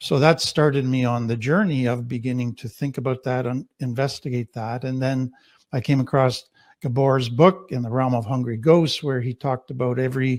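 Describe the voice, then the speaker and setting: A man speaks in an ordinary speaking voice, at medium pitch and a moderate pace. His intonation stays fairly even. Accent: Canadian. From Canada. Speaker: trauma therapist. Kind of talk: panel discussion introduction.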